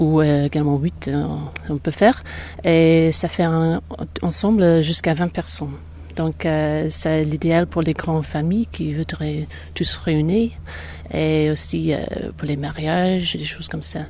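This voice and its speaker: Speaking with an English accent, a woman goes at a fairly slow pace with long, frequent pauses. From northern England, near Manchester. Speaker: holiday cottage owner. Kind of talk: interview. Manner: hesitant, many fillers.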